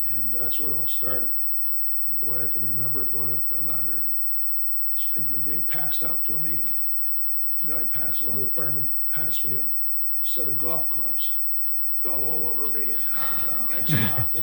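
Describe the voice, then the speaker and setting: A man with an American accent talks at a moderate pace, leaving long, frequent pauses. Noticeable background noise and audible room echo fill the recording. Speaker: retired volunteer firefighter and EMT. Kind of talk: oral history interview. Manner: halting, many repeated words.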